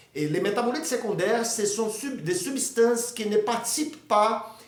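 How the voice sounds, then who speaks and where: There is audible echo in the room as a man talks. Noticeable background noise can be heard too. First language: Portuguese (speaking French). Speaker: amateur botany video maker. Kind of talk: informal educational talk. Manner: halting, many hesitations.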